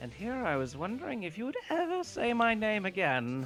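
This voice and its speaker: Soft-spoken and fairly high, this put-on character voice moves at a moderate pace with very wide pitch swings. Clear background noise is present. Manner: whimsical.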